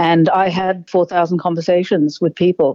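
A woman with an Australian accent, fairly low in pitch, at a fairly slow pace. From Zambia, then Australia from childhood. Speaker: politician and physician. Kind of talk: interview. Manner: formal.

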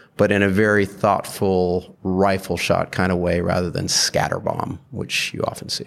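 A man with a very deep, low pitch and an American accent speaks in a flat monotone at a moderate pace, hardly pausing, against noticeable background noise. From UK, Saudi Arabia and US. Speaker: investor. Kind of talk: casual interview.

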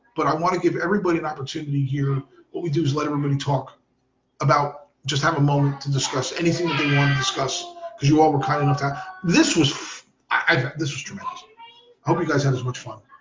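A man's somewhat breathy, fairly high voice at a very fast pace, with fairly even intonation. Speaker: soccer podcast host. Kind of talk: casual chat. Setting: home recording with kids in background.

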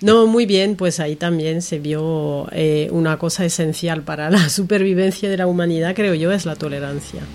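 Against noticeable background noise, the speech moves at a moderate pace with hardly any pauses and fairly even intonation. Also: woman, fairly low pitch for a woman. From France. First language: French (speaking Spanish). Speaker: journalism voice course student. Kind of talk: casual chat. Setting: bookshop.

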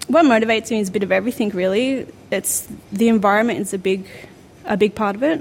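Noticeable background noise surrounds a woman with an Australian accent who talks at a very fast pace, her fairly high pitch showing ordinary pitch variation. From New South Wales South Coast. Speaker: amateur boxer. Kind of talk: interview monologue.

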